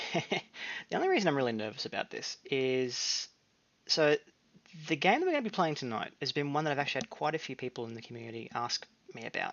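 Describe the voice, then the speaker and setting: The pace is very fast. Long pauses come often. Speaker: gaming streamer. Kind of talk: casual let's-play commentary. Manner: halting, stumbling.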